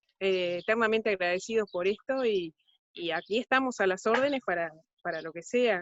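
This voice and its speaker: Talking at a moderate pace, a woman with a Uruguayan accent uses a medium pitch and ordinary pitch variation. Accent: Uruguayan Spanish (rioplatense). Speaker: ecotourism project participant. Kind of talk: panel discussion. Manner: halting, many fillers.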